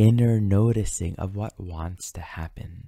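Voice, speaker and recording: Against a quiet background, a man speaks in a dark, mellow, calm and gentle tone with fairly even intonation and a dry sound with no echo. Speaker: astrology teacher and meditation guide. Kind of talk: guided meditation and spiritual teaching. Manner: calm, slow, gentle, reflective. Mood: calm, gentle, reflective. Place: home room. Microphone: studio mic.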